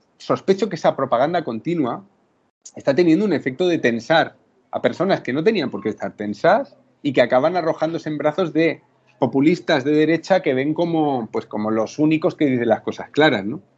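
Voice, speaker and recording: Lively intonation from a man, fairly high in pitch and moderate in pace. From Spain, Murcia. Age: 30s. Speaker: writer and journalist. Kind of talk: interview. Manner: halting, many repetitions and fillers.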